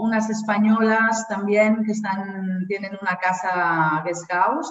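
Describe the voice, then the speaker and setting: Audible room echo surrounds the voice. A woman speaks at a fairly slow pace. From Spain, Barcelona. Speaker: Spanish teacher. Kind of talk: interview.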